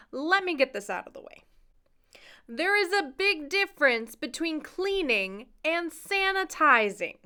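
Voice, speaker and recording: Raised and projected, a woman's voice sits at an extremely high pitch with a bright, sharp tone, very wide pitch swings, big swings in loudness and a fairly slow pace. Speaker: medical equipment seller. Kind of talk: product tutorial.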